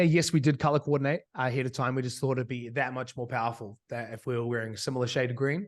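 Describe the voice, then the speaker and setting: This man has an American accent and a medium-pitched voice. His intonation stays fairly even. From New Zealand. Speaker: online business coach. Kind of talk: interview.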